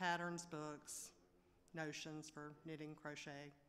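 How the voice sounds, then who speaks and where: With a Southern US accent, a woman talks in a very deep, low pitch and a monotone, flat intonation. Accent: Southern US (Georgia). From Georgia, US South. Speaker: small business owner applicant. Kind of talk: public meeting testimony. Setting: at a podium in a public meeting.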